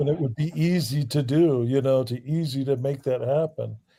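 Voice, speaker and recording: A man speaks with an American accent in a dark, mellow tone. His voice is somewhat breathy. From US South, Alabama. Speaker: livestream caller. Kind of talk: casual chat.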